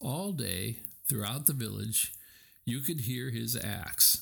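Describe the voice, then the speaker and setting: Here a man speaks at a very slow pace with a medium pitch and lively intonation. His tone is gentle and warm, touched with vocal fry. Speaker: audiobook narrator. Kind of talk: scripted folk tale narration, read aloud. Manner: gentle, warm storytelling pace; rhythmic, with playful sound-effect beats and voiced dialogue.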